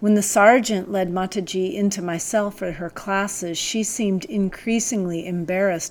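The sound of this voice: With fairly even intonation, the speaker reads in an unforced voice.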